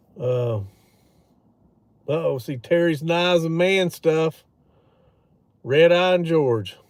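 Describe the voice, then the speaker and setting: A man of fairly high pitch at a very slow pace, with ordinary pitch variation and long, frequent pauses. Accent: Louisiana. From Louisiana. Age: 40s. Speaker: outdoors streamer, hunter. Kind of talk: casual live stream chat. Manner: casual, meandering with fillers.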